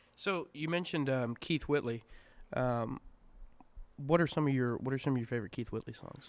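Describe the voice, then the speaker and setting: This man has a medium pitch with ordinary pitch variation. He talks at a fairly quick pace but leaves long, frequent pauses. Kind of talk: podcast host.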